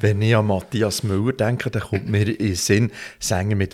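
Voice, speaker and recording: A man with a Swiss accent speaks very slowly at a fairly low pitch, somewhat breathy. The recording is very clean, with a silent background. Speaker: podcast host. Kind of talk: scripted outro; casual interview.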